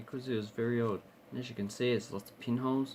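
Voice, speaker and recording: A man at a very fast pace, his intonation fairly even. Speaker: coin and banknote collector YouTuber. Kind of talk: casual show-and-tell video. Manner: hesitant, with filler words.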